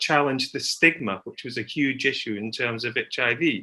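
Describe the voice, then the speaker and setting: Speaking at a fairly quick pace with a British accent, a man has a bright, sharp tone and ordinary pitch variation. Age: 60s. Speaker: patient advocate. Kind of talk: panel discussion.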